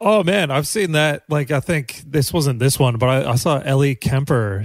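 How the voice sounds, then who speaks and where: Over a very clean recording with a silent background, a man with an American accent uses a plain, everyday voice at a medium pitch, moving at a moderate pace with ordinary pitch variation. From US Midwest, Kansas. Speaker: comedian podcast host. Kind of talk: casual chat.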